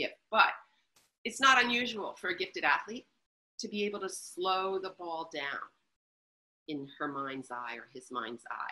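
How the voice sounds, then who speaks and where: The tone is bright and sharp, with some vocal fry. Pitch swings very widely. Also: woman. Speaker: author and researcher. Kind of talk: webinar interview. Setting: online webinar. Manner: fast.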